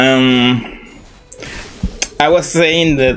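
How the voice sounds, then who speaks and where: With music playing in the background, a man in a Spanish accent talks with fairly even intonation. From Chile. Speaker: vtuber streamer. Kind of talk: casual live stream chat. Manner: halting, with repeated words.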